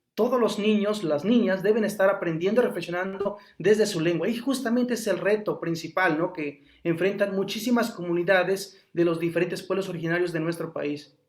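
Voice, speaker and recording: A man with a Mexican accent talks fairly quickly in a high pitch, with ordinary pitch variation and hardly any pauses. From Huasteca Veracruzana, Mexico. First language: Nahuatl (speaking Spanish). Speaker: Nahuatl language teacher. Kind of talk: interview conversation.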